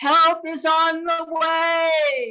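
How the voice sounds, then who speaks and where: A woman's put-on character voice at an extremely high pitch, with fairly even intonation. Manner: loud, carrying.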